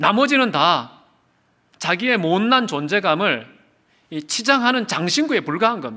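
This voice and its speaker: A man's raised, projected voice, high-pitched with a bright, sharp tone, very wide pitch swings and a fairly slow pace, on a very clean recording with a silent background. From South Korea, Daegu. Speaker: pastor. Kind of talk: sermon. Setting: church revival service.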